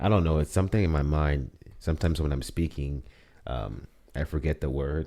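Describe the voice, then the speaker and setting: A man talks at a fairly quick pace in a very deep, low pitch with ordinary pitch variation. His tone is dark and mellow. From Gambia, West Africa. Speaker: podcast co-host. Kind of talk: casual chat.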